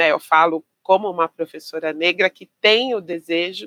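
A woman speaks in a bright, sharp tone with ordinary pitch variation. The sound is dry and close, with no echo. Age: 50s. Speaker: physical education teacher. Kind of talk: interview conversation.

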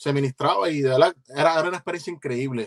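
The sound is dry and close with no echo as a man speaks at a fairly high pitch. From Puerto Rico (Ceiba). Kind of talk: interview.

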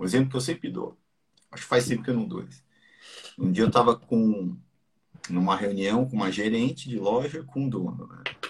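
Long, frequent pauses break up a man's fairly quick speech, which has a medium pitch, ordinary pitch variation and big swings in loudness. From Brazil, mixed (Ceará, Santos). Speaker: business podcast host. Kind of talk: casual live business talk. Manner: animated.

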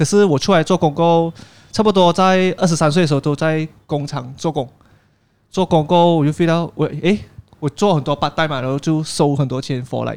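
This man has a normal speaking voice, pitched fairly high. He talks at a fairly quick pace with fairly even intonation. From Penang, Malaysia. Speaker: YouTuber. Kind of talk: casual chat. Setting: cafe.

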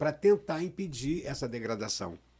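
Over a silent background on a very clean recording, a man speaks at a moderate pace with lively intonation. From Rio de Janeiro state, Brazil (Cabo Frio, raised in Niterói). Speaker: environmental NGO president. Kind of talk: casual interview.

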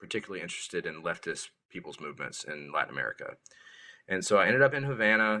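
A man talks at a very fast pace with a South Carolina accent. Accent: Southern US (South Carolina). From US South, rural South Carolina. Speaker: musician. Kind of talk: casual chat. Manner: halting, repeats words.

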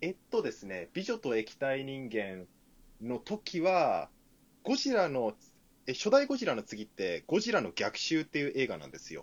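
The loudness of this man's voice swings in big ways. His pace is moderate. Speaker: podcast co-host. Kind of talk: casual chat. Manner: animated.

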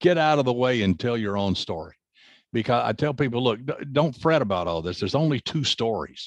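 A man with an American accent talks at a fairly quick pace in a normal speaking voice, with medium pitch and lively intonation. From US South. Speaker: crime novelist and forensics consultant. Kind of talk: interview.

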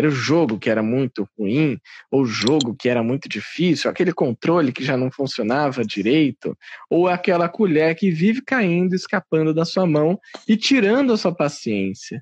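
In a dry, close sound with no echo, a man speaks at a fairly high pitch with very wide pitch swings. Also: moderate pace. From Brazil, São Paulo. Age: 30s. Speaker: podcast host and radio/TV communicator. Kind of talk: casual chat.

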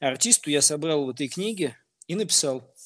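With lively intonation, a man whose voice sits fairly high talks at a moderate pace. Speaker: music producer and DJ. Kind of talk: interview.

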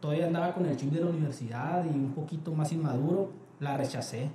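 A man's fairly high-pitched voice, with audible room echo and noticeable background noise. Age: 20s. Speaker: quality department head. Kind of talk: interview. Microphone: poor audio quality.

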